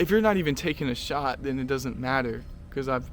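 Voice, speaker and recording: Medium in pitch, a man talks at a fairly quick pace. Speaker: YouTuber. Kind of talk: casual vlog monologue. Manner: fast; hesitant with many fillers and repetitions.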